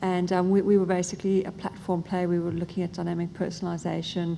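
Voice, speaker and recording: A woman with an Australian accent, fairly low-pitched, very fast and flat in a monotone, dark and mellow in tone, with audible room echo. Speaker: tech product strategist. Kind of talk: conference panel talk. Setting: stage with audience.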